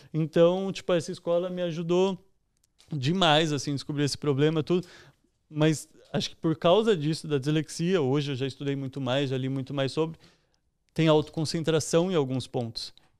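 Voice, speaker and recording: Against a quiet background, a man with a São Paulo accent talks at a moderate pace in a fairly high voice with ordinary pitch variation. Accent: São Paulo Brazilian Portuguese. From São Paulo, Brazil (East Zone); São Paulo, Brazil. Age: 20s. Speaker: entrepreneur and investor; podcast guest. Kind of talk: casual interview chat. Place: home room. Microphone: studio mic.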